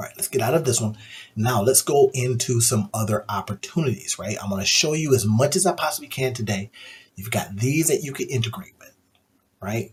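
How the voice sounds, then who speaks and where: A man talks at a fairly quick pace, his voice somewhat breathy. His intonation is lively, and his loudness swings widely. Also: medium pitch for a man. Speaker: AI tools YouTuber. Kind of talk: screen-share tutorial. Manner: low-key, subdued; casual, conversational.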